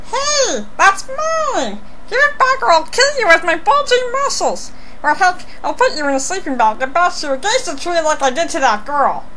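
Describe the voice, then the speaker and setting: A woman speaks in a put-on character voice at a moderate pace. Loud background noise runs underneath. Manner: menacing, blustering.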